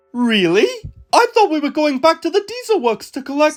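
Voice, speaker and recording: This put-on character voice is high-pitched and squeaky. It moves at a fairly quick pace with very wide pitch swings. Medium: cartoon. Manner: naive, easygoing.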